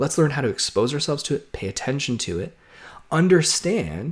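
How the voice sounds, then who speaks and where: This man's voice is somewhat breathy, and his intonation is lively. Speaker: social worker and therapist educator. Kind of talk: video lecture. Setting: home office. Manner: fast.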